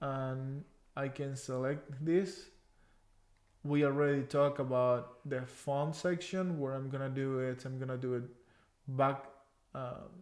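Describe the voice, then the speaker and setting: Over audible room echo, a man with a fairly high pitch speaks in a monotone, flat intonation at a fairly slow pace, leaving long, frequent pauses. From Cuba. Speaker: Excel trainer. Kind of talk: live online tutorial.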